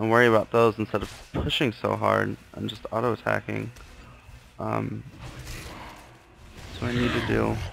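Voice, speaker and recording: Soft-spoken, a man talks with long, frequent pauses over noticeable background noise. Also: moderate pace. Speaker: gamer. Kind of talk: video game commentary. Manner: quiet, soft-spoken.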